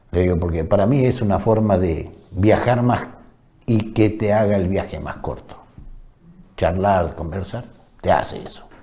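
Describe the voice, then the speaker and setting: A man's dark, mellow tone at a fairly low pitch, somewhat breathy, at a fairly slow pace with long, frequent pauses and audible room echo. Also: ordinary pitch variation. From Argentina, Chaco province. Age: 60s. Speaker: war veteran. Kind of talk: testimony interview.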